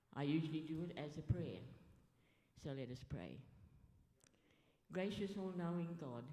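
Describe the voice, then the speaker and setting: Very deep and low in pitch, a woman speaks at a moderate pace with ordinary pitch variation and long, frequent pauses, with audible room echo. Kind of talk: formal welcome and prayer.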